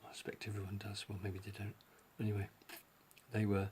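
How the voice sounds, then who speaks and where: A man's mumbling, somewhat breathy voice at a fairly low pitch. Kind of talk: casual talk to camera.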